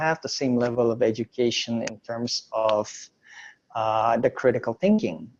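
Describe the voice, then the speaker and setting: A dark, mellow tone with an American accent at a moderate pace over a quiet background. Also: man. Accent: sounds foreign when speaking Indonesian. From Indonesia, raised in the US from age nine. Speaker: entrepreneur and former photojournalist. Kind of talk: interview.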